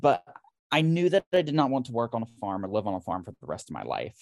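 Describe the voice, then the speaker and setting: A man with an American accent, in a very clean recording with a silent background and a dry, close sound with no echo. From North Carolina, rural. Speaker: nursing professor and researcher. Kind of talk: casual interview chat. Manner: animated.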